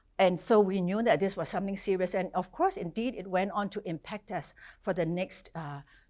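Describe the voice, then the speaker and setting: Her pitch is medium for a woman. She speaks at a fairly quick pace. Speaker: professor. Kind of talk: lecture. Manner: fast.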